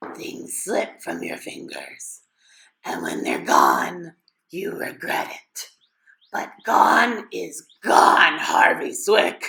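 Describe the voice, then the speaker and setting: Very slow and raspy, this put-on character voice has a fairly high pitch. It also sounds creaky. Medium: read story. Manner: grandiose, persuasive, sinister.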